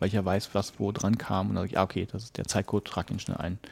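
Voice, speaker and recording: A man talks at a very fast pace. His tone is dark and mellow. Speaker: podcaster. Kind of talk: casual chat. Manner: mumbling.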